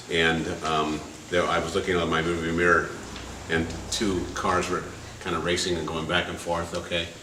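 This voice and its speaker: A man speaks at a moderate pace in a very deep, low pitch, monotone and flat, with long, frequent pauses. Noticeable background noise and audible room echo surround him. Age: 70s. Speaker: performance artist. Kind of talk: storytelling performance. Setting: gallery with live audience. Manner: halting, many fillers.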